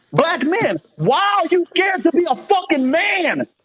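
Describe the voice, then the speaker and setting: A man is shouting at an extremely high pitch. The sound is dry and close with no echo. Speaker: panelist in a live stream discussion. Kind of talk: casual live stream discussion. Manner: loud, yelling.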